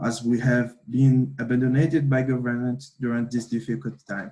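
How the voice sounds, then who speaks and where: A man speaks with a Brazilian accent. His voice is somewhat breathy, with a dark, mellow tone. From Brazil, São Paulo. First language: Portuguese. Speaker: youth activist. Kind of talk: prepared speech. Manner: halting.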